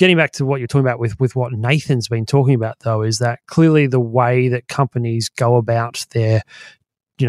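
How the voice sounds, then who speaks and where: A man with an Australian accent talks at a fairly quick pace and medium pitch. His intonation is fairly even, and the sound is dry and close with no echo. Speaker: market strategist and podcast co-host. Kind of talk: casual chat.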